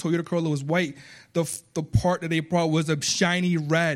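A man with a slight Spanish accent talks at a fairly quick pace. His voice is high-pitched and his intonation fairly even. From Puerto Rico. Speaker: guest preacher. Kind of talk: sermon. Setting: church.

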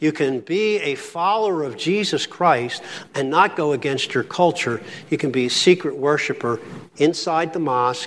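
Fairly high male voice with ordinary pitch variation over noticeable background noise. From Philadelphia, US. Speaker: pastor. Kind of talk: lecture.

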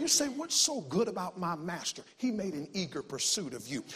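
This man speaks in a high pitch with very wide pitch swings and an animated tone. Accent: Southern US. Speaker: visiting preacher. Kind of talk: sermon, preacher in full flow, exhorting a church congregation with call-and-response. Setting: church with congregation. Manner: fast talker, self-aware of speed.

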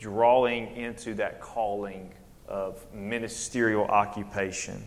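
A man talks at a fairly slow pace in a Southern US accent. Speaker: preacher. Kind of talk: sermon. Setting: church. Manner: halting.

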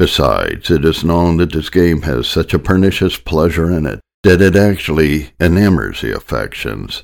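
A man with an American accent speaks at a very deep, low pitch with vocal fry and ordinary pitch variation. He keeps a moderate pace with hardly any pauses, on a very clean recording with a silent background. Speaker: sermon narrator. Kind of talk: sermon audiobook reading, solemn reading of old Puritan text. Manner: measured, formal, steady reading pace.

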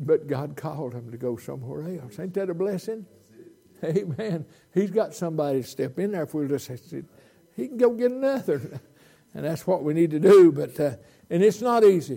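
A man with a Southern US accent talks at a fairly quick pace in a fairly high, dark, mellow voice, his pitch swinging very widely, with long, frequent pauses. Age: 80s+. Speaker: visiting preacher. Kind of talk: sermon. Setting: church. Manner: animated.

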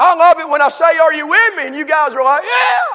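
An animated, warm-toned man's raised, projected voice at an extremely high pitch, over noticeable background noise. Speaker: preacher. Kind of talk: sermon. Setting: church. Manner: warm and folksy.

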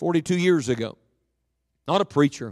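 A man with a high voice and lively intonation speaks in a dry, close recording with no echo and a totally silent background. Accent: American. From West Virginia, Beckley. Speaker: guest preacher. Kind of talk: sermon. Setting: church with congregation.

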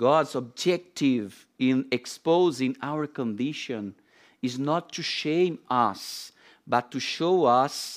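At a very slow pace, a man speaks with a non-native accent. The recording is very clean, with a silent background. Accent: foreign, non-native English. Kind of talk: sermon. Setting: church. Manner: halting with many fillers.

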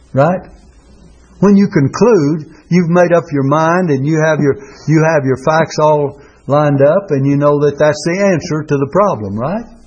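Against noticeable background noise, a man talks at a moderate pace, his fairly high pitch moving with ordinary variation. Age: 80s+. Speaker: preacher. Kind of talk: sermon. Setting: church.

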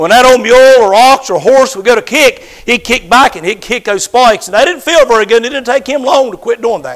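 Speaking at a fairly quick pace with lively intonation, a man with an extremely high voice is heard over noticeable background noise. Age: 50s. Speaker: pastor. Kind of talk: sermon.

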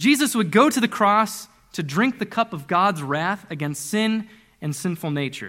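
A man's raised, projected voice sits high in pitch, with a bright, sharp tone, an animated delivery and very wide pitch swings. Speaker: preacher. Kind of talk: sermon. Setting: church.

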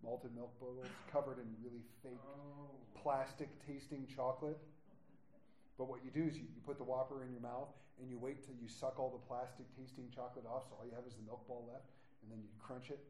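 A man's dark, mellow voice, somewhat breathy, at a fairly quick pace, with big swings in loudness and audible room echo. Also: medium pitch for a man. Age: 40s. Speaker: pastor. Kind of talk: sermon. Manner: animated.

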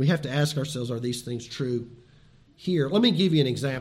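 Somewhat breathy man at a fairly quick pace, ordinary pitch variation and audible room echo. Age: 60s. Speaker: pastor. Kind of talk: sermon.

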